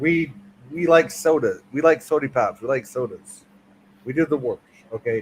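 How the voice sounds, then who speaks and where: A man with an American accent speaks with long, frequent pauses, ordinary pitch variation and a somewhat breathy quality. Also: fairly high pitch for a man, moderate pace. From Michigan, central Lower Peninsula. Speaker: livestream guest. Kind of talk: casual chat.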